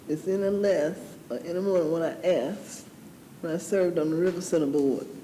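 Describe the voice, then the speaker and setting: A woman with an American accent speaks at a fairly low pitch with ordinary pitch variation, and the room echo is audible. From US South, Georgia. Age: 60s. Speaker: city council member. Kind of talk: council meeting discussion.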